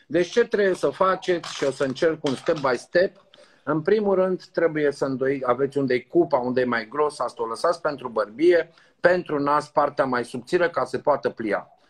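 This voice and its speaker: Here a man talks in an unremarkable speaking voice at a moderate pace. His pitch is fairly high, with ordinary variation. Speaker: doctor. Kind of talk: live tutorial. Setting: video call. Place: home room. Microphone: video call.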